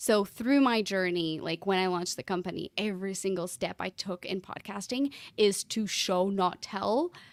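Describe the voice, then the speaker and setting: A woman with a slight Portuguese accent speaks at medium pitch and a moderate pace. Her intonation is fairly even, and the sound is dry and close with no echo. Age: 30s. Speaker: podcast consultant. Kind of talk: casual interview chat.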